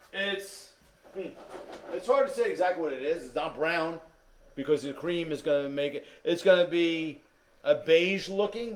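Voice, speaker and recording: Amid noticeable background noise, a man with a high pitch talks at a moderate pace, with long, frequent pauses, big swings in loudness and ordinary pitch variation. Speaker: cooking instructor. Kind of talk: cooking tutorial.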